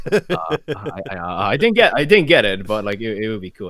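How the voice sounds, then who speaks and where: Talking at a very fast pace, a man uses a fairly low pitch with very wide pitch swings. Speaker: animator and voice actor. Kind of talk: casual chat. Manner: halting, many fillers and restarts.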